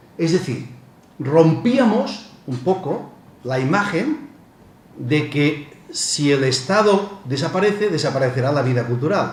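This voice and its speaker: A man talks with a fairly high pitch and lively intonation. Noticeable background noise and audible room echo fill the recording. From Spain, Barcelona (Catalonia). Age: 60s. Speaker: professor. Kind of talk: lecture. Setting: conference with audience. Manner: halting, with repetitions.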